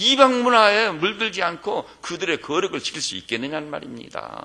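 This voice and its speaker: Raising and projecting his voice, a man speaks at a fairly slow pace with a bright, sharp, animated tone and very wide pitch swings. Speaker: pastor. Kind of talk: sermon.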